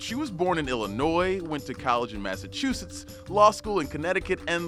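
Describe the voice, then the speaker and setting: The speaker talks at a fairly quick pace with very wide pitch swings. Music plays in the background. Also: man. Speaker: news reporter. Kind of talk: news explainer narration.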